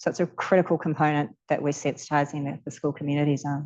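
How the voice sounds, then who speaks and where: A very deep, low female voice, monotone and flat, at a very fast pace against a quiet background. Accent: New Zealand. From New Zealand. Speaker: charity leader. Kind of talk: panel Q&A answers. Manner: hesitant fillers.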